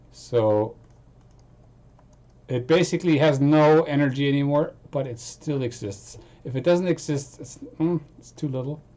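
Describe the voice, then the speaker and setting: Loud and at a fairly slow pace, a man speaks with long, frequent pauses. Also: ordinary pitch variation. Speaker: music producer streaming. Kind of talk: casual live stream chat. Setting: home studio live stream. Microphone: distorted sound, voice too loud.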